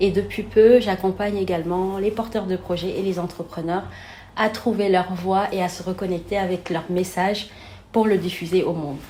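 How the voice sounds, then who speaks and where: A woman talks at a moderate pace in a medium-pitched voice with monotone, flat intonation. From Senegal. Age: 30s. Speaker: therapist and coach. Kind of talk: interview.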